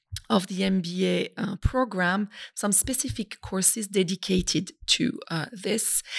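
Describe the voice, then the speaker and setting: In a French accent, a woman speaks somewhat breathily at a fairly slow pace and medium pitch with ordinary pitch variation, on a very clean recording with a silent background. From France, Brittany. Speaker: business school institute director. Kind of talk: interview.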